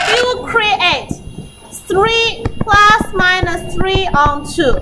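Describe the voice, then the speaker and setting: A woman speaks at an extremely high pitch with ordinary pitch variation. Audible room echo and noticeable background noise fill the recording. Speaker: maths teacher. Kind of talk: lecture.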